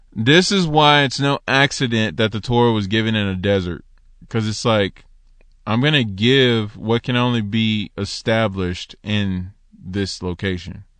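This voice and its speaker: Against a quiet background, a man talks at a fairly slow pace in a fairly low pitch. His tone is animated, with ordinary pitch variation. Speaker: solo podcast host teaching Torah. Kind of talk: religious teaching monologue. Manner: animated, excitable.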